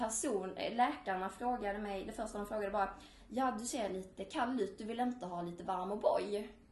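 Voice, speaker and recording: Delivery is at a moderate pace, somewhat breathy, with ordinary pitch variation. Audible room echo surrounds the voice. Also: woman. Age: 20s. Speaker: student and eating disorder survivor. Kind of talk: personal testimony.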